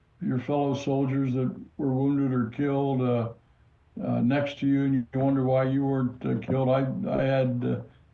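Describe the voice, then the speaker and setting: A man's medium-pitched voice at a fairly quick pace with audible room echo. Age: 80s+. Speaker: retired army general. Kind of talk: interview.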